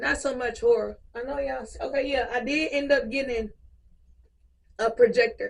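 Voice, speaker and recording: Her delivery as a woman runs at a fairly slow pace. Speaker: YouTuber, movie reviewer. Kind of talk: casual vlog review.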